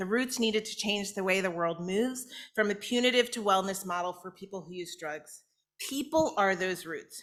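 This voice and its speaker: Her bright, sharp tone carries lively intonation as the woman talks at a fairly quick pace. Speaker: invited speaker, public health policy advocate. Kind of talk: keynote speech. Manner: fast.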